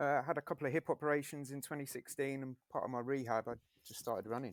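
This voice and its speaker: With fairly level intonation, a man speaks very rapidly. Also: fairly high pitch for a man, dry, close sound with no echo. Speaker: endurance runner and coach. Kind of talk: casual chat. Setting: home gym. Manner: soft-spoken.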